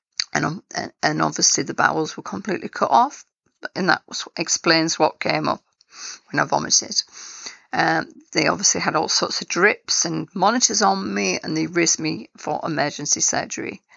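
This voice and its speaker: A woman with an English accent at a moderate pace. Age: 50s. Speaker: cancer survivor telling own story. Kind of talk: personal testimony.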